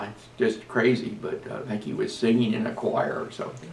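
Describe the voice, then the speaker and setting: Audible room echo and noticeable background noise fill the recording. The man talks at a moderate pace. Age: 90s. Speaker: navy veteran. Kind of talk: interview. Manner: halting.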